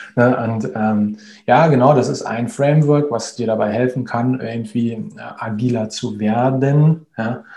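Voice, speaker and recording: At a fairly slow pace, a man speaks with a dark, mellow tone, medium pitch and ordinary pitch variation. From Berlin, Germany. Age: 30s. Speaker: agile coach. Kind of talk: interview. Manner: hesitant, many fillers.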